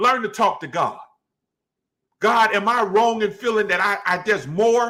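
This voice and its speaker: Shouting in a raised, projected voice, a man sounds animated at a high pitch. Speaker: pastor. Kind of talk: bible study teaching. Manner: loud, yelling.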